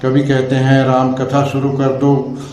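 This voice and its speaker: A man with a fairly high pitch is speaking. Room echo is audible, and there is noticeable background noise. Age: 70s. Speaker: religious storyteller. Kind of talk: interview.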